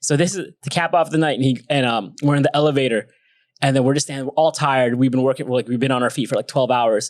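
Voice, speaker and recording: An animated speaker with an American accent talks at a very fast pace, with a dry, close sound and no echo. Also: man, medium pitch for a man. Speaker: podcast co-host, director. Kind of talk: casual chat.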